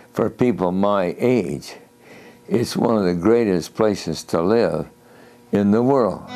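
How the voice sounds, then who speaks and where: Faint music plays behind a man speaking with an American accent at a fairly low pitch and a very slow pace. His loudness stays very even, his pitch varies in an ordinary way, and he leaves long, frequent pauses. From Jupiter, Florida. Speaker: World War Two Navy veteran. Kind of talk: interview answer. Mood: reflective, reminiscing. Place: home room. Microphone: lapel.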